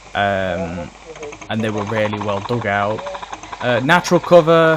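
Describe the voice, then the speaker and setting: There is noticeable background noise. The speech moves at a fairly slow pace. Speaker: airsoft YouTuber. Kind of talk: casual video review. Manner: halting, many fillers.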